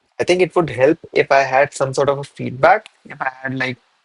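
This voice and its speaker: Mumbling at a moderate pace, a man speaks. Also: dry, close sound with no echo. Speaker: programming streamer. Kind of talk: live coding stream commentary. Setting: live stream.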